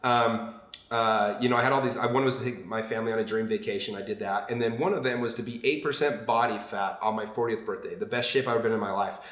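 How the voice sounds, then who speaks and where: A man talking very fast with hardly any pauses and fairly even intonation, amid audible room echo and noticeable background noise. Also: medium pitch for a man. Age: 40s. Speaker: podcast guest. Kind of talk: casual chat.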